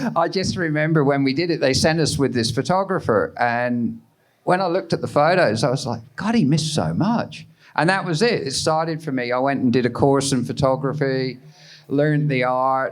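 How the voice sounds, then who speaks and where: Delivered at a moderate pace with ordinary pitch variation, this voice speaks in a Cornish accent. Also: man. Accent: English (Cornish) accent still present. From Cornwall, England. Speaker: surf photographer. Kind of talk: live podcast interview. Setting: live recording at a festival with audience.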